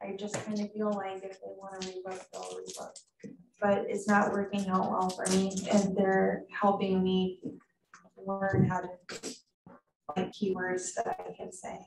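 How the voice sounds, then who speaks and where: A woman speaks softly at a medium pitch, with a monotone, flat intonation and big swings in loudness. Her pace is fairly slow, with long, frequent pauses. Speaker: salon business owner. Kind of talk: audience question. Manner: soft-spoken.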